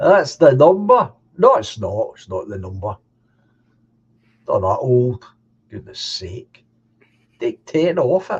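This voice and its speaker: In a Scottish accent, a man speaks at a very slow pace with long, frequent pauses. His loudness swings widely. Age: 70s. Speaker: live stream host. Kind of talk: casual chat. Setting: live stream.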